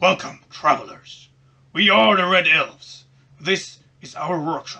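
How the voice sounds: In a put-on character voice, a man talks fairly slowly at a high pitch.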